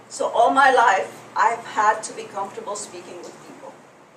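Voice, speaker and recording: A woman with fairly high pitch at a moderate pace, amid audible room echo and noticeable background noise. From Egypt. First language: French. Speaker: public speaking coach. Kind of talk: workshop presentation.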